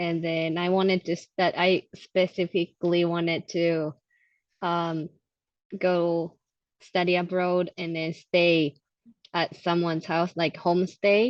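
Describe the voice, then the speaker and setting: Over a quiet background, a woman with an American accent talks at a very slow pace in a fairly low, monotone, flat voice, the sound dry and close with no echo. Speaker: immigration documents officer. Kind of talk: interview. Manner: halting.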